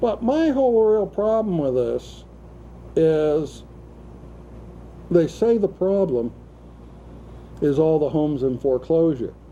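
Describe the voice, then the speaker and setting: A man's dark, mellow, fairly high-pitched voice with very wide pitch swings and very even loudness, at a fairly slow pace with long, frequent pauses. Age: 60s. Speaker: talk show host. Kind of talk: casual political discussion.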